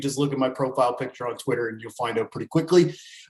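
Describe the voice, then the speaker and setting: A man with a Canadian accent. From Canada, Acadian. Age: 30s. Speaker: sports betting analyst. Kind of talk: podcast interview.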